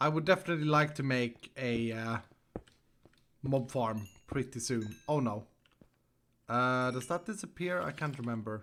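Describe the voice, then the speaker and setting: With a Swedish accent, a man speaks at a moderate pace in a medium pitch, his intonation lively and his pauses long and frequent. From Sweden. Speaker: Minecraft streamer. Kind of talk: live gameplay stream chat. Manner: animated.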